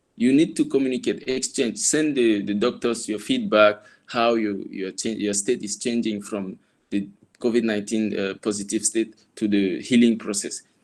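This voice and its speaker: A man with a Cameroonian accent speaks at a medium pitch and moderate pace, his intonation fairly even. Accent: Cameroonian francophone English. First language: French. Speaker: former fellow and university tutor. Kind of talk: guest talk. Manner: hesitant, many fillers.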